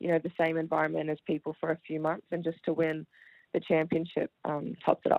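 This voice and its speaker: With an Australian accent, someone speaks at a fairly quick pace. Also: woman. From Melbourne, Australia. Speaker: professional basketball player. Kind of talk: radio interview. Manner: hesitant with fillers.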